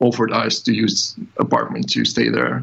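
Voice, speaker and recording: A man's medium-pitched voice with vocal fry, very slow in pace, in a Ukrainian accent. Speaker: IT developer. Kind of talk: interview.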